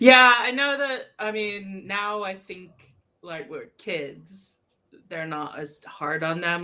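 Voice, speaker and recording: A woman with an American accent. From US, New York City. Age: 40s. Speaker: crochet content creator. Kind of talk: casual chat.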